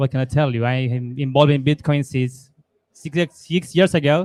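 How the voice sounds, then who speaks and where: Fairly high in pitch, a man speaks in an Argentine accent with fairly even intonation. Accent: Argentine Spanish, noticeable. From Argentina. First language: Spanish. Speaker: lightning developer and entrepreneur. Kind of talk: panel discussion.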